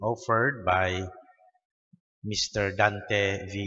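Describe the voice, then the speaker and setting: A man with a Filipino accent speaks at a fairly low pitch against a quiet background. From Philippines. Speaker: Mass announcer reading intentions. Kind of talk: reading prayers and intentions aloud. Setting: church Mass. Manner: formal, measured. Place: church. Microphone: podium.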